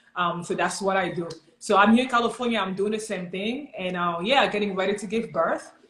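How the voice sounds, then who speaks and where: Noticeable background noise can be heard in the clip. Behind it a woman talks at a medium pitch, with ordinary pitch variation. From Cameroon. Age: 30s. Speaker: personal trainer. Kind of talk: casual chat. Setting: livestream video call.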